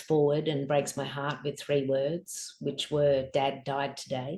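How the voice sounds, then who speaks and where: A woman speaks in an Australian accent at a fairly slow pace. Her tone is dark and mellow. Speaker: author and grief guide. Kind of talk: interview testimony.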